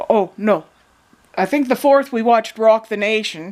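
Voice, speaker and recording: With a fairly high pitch and ordinary pitch variation, a woman speaks at a moderate pace. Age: 60s. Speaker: video blogger. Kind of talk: casual monologue. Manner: halting.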